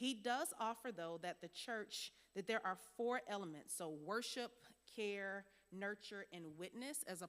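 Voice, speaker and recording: A woman speaks with lively intonation. Her pitch sits in the medium range. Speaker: workshop presenter on pastoral care. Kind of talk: interactive workshop lecture. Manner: fast when excited; lively, interactive.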